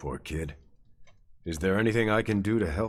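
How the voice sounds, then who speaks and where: A man puts on a character voice that is raspy and fairly low in pitch. The tone stays calm at a moderate pace. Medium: video game. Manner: calm, steady.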